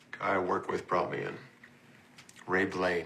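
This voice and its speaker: A man's raspy, put-on character voice, very deep and low in pitch, at a moderate pace. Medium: short film.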